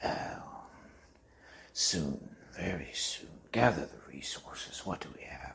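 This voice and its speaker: A man whispers in a put-on character voice. His pace is fairly slow. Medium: audio drama. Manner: forceful, urgent.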